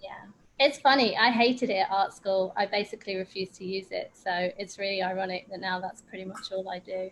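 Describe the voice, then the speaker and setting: In an Essex accent, a woman speaks at a fairly quick pace and a medium pitch with fairly even intonation. Her loudness swings widely. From England, Essex. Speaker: watercolor workshop instructor, textile designer. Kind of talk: casual chat. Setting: video call.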